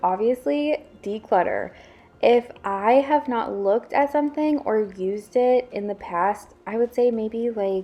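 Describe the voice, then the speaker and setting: Her fairly high pitch rises and falls with lively intonation as a woman speaks in an ordinary speaking voice. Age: 20s. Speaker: lifestyle vlogger. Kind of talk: casual vlog talk. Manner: casual, filler-heavy.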